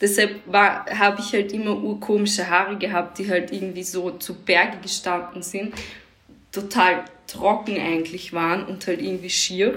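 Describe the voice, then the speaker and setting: A woman at a fairly slow pace with fairly even intonation, amid noticeable background noise and audible room echo. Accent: Austrian. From Austria. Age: 30s. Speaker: fashion designer and DJ. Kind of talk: casual chat. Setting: remote call.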